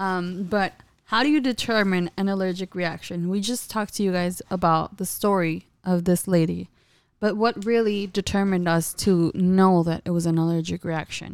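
In an ordinary speaking voice, a woman talks at a moderate pace with medium pitch and fairly even intonation, on a very clean recording with a silent background. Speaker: eyelash extension podcast co-host. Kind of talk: casual chat.

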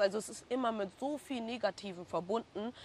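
In a plain, everyday voice, a woman speaks at a moderate pace with fairly even intonation on a very clean recording with a silent background. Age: 20s. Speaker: hairstylist. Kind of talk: casual interview.

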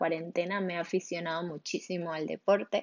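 This woman's speech has monotone, flat intonation, a fairly low pitch and a moderate pace. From Spain, Barcelona. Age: 20s. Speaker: podcaster. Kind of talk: casual monologue. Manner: halting.

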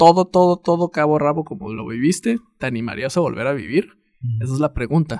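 Very fast speech with a Mexican accent, in a dry, close sound with no echo. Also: man, fairly high pitch for a man, lively intonation. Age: 30s. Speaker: podcast host. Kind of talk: casual chat.

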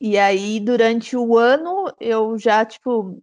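Against a quiet background, a woman speaks with a high pitch and ordinary pitch variation. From interior of São Paulo state, Brazil (Araras). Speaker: travel influencer. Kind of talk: interview.

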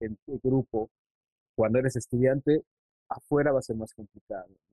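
A man with a medium pitch and a plain, everyday voice speaks at a moderate pace. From Mexico City, northern outskirts. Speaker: illustrator. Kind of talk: casual interview. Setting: video call.

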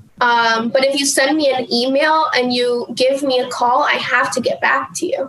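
A woman with an American accent speaks at a high pitch and a moderate pace, with ordinary pitch variation and very even loudness. She takes hardly any pauses, and noticeable background noise is present. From New Jersey. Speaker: business development executive. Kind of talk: casual chat. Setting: studio.

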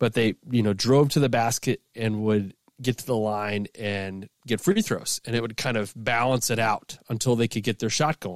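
At a moderate pace with hardly any pauses, a man talks in a normal speaking voice at medium pitch, recorded very cleanly with a silent background and a dry, close sound with no echo. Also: fairly even intonation. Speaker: sports podcast co-host, analyst. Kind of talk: casual chat.

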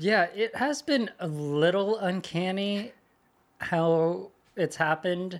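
At a very slow pace, a man speaks at a high pitch with ordinary pitch variation and very even loudness. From US West Coast, California Bay Area. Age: 20s. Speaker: social media marketer. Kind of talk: casual interview chat. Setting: studio.

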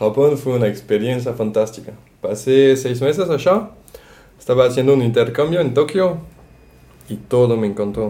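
Speaking at a moderate pace with a medium pitch and ordinary pitch variation, the man leaves long, frequent pauses. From France, Brittany. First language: French (speaking Spanish). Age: 20s. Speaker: tourism worker. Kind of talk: casual chat.

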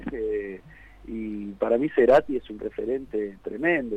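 A man's dark, mellow voice in a Rioplatense accent, with ordinary pitch variation and a dry, close sound with no echo. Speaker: rock singer. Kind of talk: radio interview.

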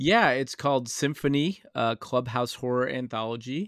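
A man's unremarkable speaking voice at a moderate pace, fairly even in intonation, in a dry, close recording with no echo and a silent background. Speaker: guest horror film discussant. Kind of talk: casual chat about a film.

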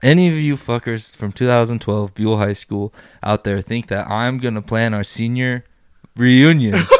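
A man talks in an animated tone at a moderate pace and medium pitch, with ordinary pitch variation. The sound is dry and close with no echo, in a very clean recording with a silent background. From Idaho, US. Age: 20s. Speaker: videographer. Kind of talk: casual chat.

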